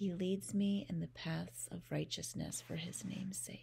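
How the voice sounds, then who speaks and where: Over light background noise, a woman speaks in a calm, soothing tone at a fairly slow pace. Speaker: parent, meditation guide. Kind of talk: guided bedtime meditation with scripture reading. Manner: calm, slow, soothing. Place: home room. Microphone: phone near.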